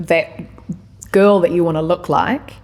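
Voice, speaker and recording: A woman with a New Zealand accent talks at a fairly quick pace in a fairly low pitch, her intonation fairly even. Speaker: podcast guest. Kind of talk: casual chat.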